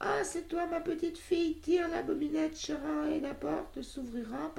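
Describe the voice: A high-pitched put-on character voice at a moderate pace over light background noise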